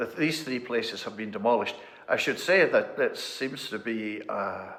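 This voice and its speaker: Moderate-paced speech from a man, over noticeable background noise. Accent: west of Scotland. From Scotland, North Ayrshire (Kilbirnie). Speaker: parish minister. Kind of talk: interview conversation.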